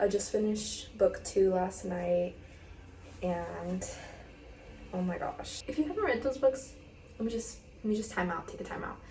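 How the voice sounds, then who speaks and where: A soft-spoken woman talks with long, frequent pauses. Audible room echo and noticeable background noise surround her voice. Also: moderate pace. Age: 20s. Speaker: lifestyle vlogger. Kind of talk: casual chat. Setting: bathroom at home. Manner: rambling with fillers.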